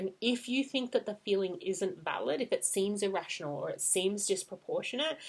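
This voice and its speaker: A woman's plain, everyday voice, medium in pitch, with lively intonation at a fairly quick pace. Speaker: parenting coach. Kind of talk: tutorial.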